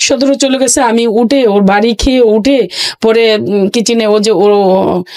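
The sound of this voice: Her voice fairly high and slightly mellow, a woman speaks slowly with fairly even intonation.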